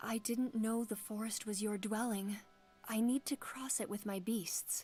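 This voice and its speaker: Doing a put-on character voice, a woman speaks at a moderate pace in a fairly high, shaky tone with monotone, flat intonation while music plays in the background. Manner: shaky, nervous.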